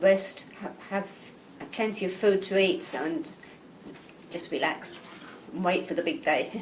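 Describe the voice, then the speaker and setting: A woman with an English accent at a medium pitch, with lively intonation, a fairly slow pace and long, frequent pauses, amid audible room echo and noticeable background noise. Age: 60s. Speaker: amateur marathon runner. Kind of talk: interview.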